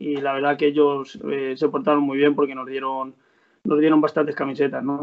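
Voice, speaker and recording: The speaker talks at a moderate pace with fairly even intonation. It is an ordinary speaking voice. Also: man, fairly high pitch for a man. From Spain, Salamanca province (Guijuelo area). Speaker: footballer. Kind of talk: interview.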